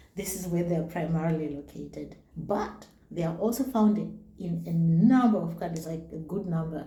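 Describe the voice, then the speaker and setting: A woman with a fairly low voice and a Zimbabwean accent speaks with ordinary pitch variation amid audible room echo and noticeable background noise. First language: Shona. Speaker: YouTuber. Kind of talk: casual vlog talk. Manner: halting, reads names slowly.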